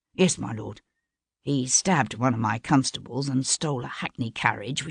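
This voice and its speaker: Someone uses a raspy, put-on character voice, low-to-middle in pitch, at a moderate pace. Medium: read story. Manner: deferential, formal.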